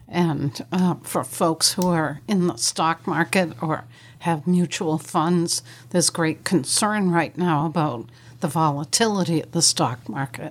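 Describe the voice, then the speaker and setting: On a very clean recording with a silent background, a woman with an unremarkable speaking voice talks at a fairly slow pace, fairly low in pitch with ordinary pitch variation. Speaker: estate planning and elder law attorney. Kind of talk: radio talk show discussion. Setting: studio.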